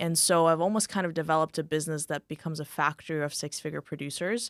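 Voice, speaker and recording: A woman with a slight Moldovan accent speaks at a fairly quick pace in a very deep, low voice. The sound is dry and close with no echo, on a very clean recording with a silent background. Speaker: insurance agency owner. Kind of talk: podcast interview. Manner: animated.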